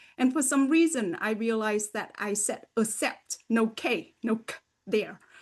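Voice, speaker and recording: With a slight Vietnamese accent and lively intonation, the speaker talks at a moderate pace against a quiet background. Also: woman. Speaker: podcast host and language education researcher. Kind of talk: interview conversation.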